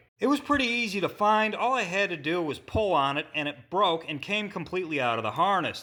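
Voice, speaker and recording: A man speaks in a raised, projected voice with a high pitch and a bright, sharp tone. He has a strong Midwestern accent, and his pitch swings very widely. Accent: heavy Midwestern. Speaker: auto mechanic. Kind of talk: repair tutorial. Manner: careful enunciation; restrained, little enthusiasm.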